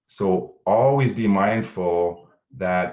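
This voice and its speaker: This man speaks with lively intonation. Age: 40s. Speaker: panel speaker, First Nations advisor. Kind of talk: motivational talk on virtual panel. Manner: halting, many fillers.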